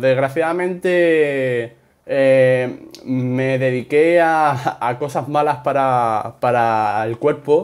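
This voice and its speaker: Pitch moves up and down in a normal way as the man speaks. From Spain. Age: 30s. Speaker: gaming youtuber. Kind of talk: Q&A video answering subscribers. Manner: spontaneous, unscripted; hesitant with many fillers.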